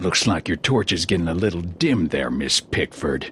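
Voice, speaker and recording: A man puts on a character voice with a very deep, low pitch and lively intonation, talking at a moderate pace with very even loudness over clear background noise. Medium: video game. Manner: gruff, crude.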